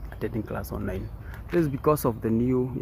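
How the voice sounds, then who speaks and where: The sound is dry with no echo, and background noise is noticeable. A man speaks with a fairly low pitch. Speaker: vlogger. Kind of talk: casual vlog chat. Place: open country. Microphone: phone near.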